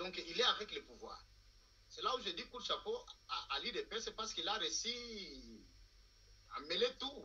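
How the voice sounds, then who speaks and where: Speaking at a fairly slow pace, a man leaves long, frequent pauses. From Democratic Republic of the Congo. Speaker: political analyst. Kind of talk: political talk show discussion. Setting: TV studio. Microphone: video call.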